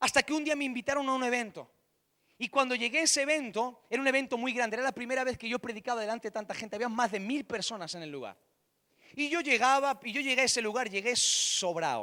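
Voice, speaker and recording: This man's voice is raised and projected, extremely high in pitch with a bright, sharp tone. He speaks at a very fast pace. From Spain, Catalonia (Barcelona). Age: 30s. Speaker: pastor. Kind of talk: sermon.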